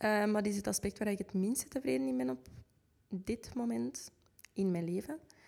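A woman with a Flemish accent and a dark, mellow tone speaks at a medium pitch, her pitch swinging very widely while her loudness stays very even. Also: moderate pace. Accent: Flemish Dutch. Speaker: podcast co-host. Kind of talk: casual chat.

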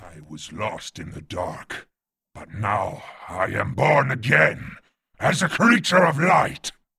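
Speaking at a fairly slow pace, a man with medium pitch makes very wide pitch swings and big swings in loudness. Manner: menacing, exultant.

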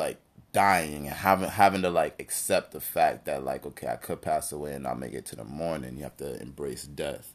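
At a moderate pace, a man speaks with vocal fry. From Jamaican heritage. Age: 20s. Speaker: musician. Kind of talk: casual chat.

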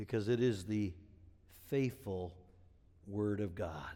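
A man with an American accent and a dark, mellow tone. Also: very clean recording, silent background. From Wisconsin, US Midwest. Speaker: pastor. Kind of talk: sermon. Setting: church.

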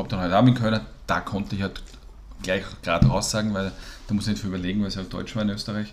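A man talks at a very fast pace in a fairly low pitch. His intonation is fairly even, broken by long, frequent pauses. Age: 40s. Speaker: podcast co-host. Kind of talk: casual chat.

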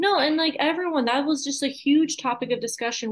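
A woman speaks at a very fast pace. Her intonation is lively. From Massachusetts. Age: 20s. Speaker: content creator. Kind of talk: podcast interview.

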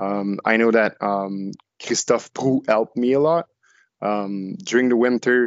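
Speaking with a French accent, a man keeps a medium pitch and a fairly slow pace. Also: ordinary pitch variation. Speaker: canoe racer. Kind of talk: casual podcast interview. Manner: halting.

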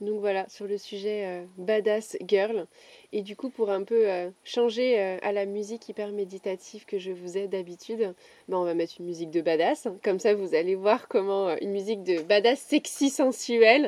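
In a very clean recording with a silent background, a woman uses a plain, everyday voice at medium pitch, moving at a moderate pace with ordinary pitch variation. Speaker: podcast host and coach. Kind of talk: casual chat. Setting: outdoors.

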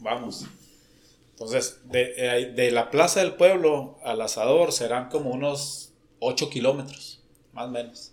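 In a northern Mexican accent, a man speaks at a very slow pace. His voice sits at medium pitch with ordinary pitch variation. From Mexico, Coahuila. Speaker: engineer. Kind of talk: casual chat. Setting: drinking beers at a podcast session.

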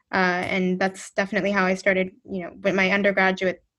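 A woman with an American accent at a medium pitch, very fast pace, and monotone, flat intonation, over a quiet background. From North America (US and Canada). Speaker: social policy researcher. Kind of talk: interview. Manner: halting, many fillers.

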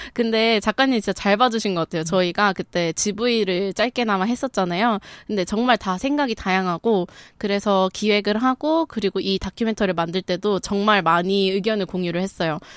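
In a very clean recording with a silent background and a dry, close sound with no echo, a woman uses a normal speaking voice at a medium pitch and a moderate pace. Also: ordinary pitch variation. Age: 20s. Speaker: documentary film director. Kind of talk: casual chat.

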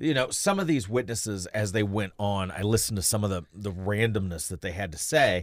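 Talking at a fairly quick pace with hardly any pauses, a man with an ordinary speaking voice uses ordinary pitch variation in a very clean recording with a silent background. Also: fairly low pitch for a man. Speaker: radio co-host. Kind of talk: angry political rant. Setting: radio studio broadcast.

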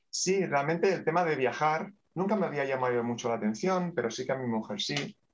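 A man speaks at a fairly quick pace. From Catalonia, Spain (Terrassa, Barcelona province). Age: 50s. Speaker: bank manager and aspiring coach. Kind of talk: interview. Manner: talkative.

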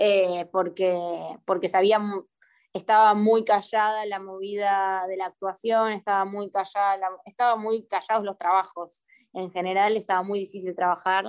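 Against a quiet background, a woman with an ordinary speaking voice talks at a medium pitch and a fairly slow pace. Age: 20s. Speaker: performing artist and poet. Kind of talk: casual interview. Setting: video call.

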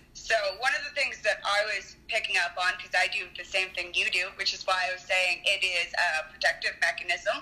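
Against noticeable background noise, a woman talks at a fairly quick pace with hardly any pauses. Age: 30s. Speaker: caller, spiritual practitioner. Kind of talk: casual call-in chat.

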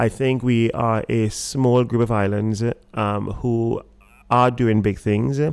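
A man speaks at a medium pitch, very slowly and with very even loudness. His intonation is flat and monotone. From Trinidad. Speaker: restaurateur and rum brand founder. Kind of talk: casual interview. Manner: hesitant, halting, many fillers.

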